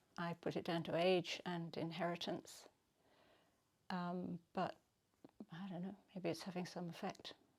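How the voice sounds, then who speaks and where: In an English accent, a woman with a fairly low pitch speaks at a fairly slow pace in monotone, flat intonation, leaving long, frequent pauses. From England. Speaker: retreat participant. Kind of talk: video diary testimony. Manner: hesitant, many fillers.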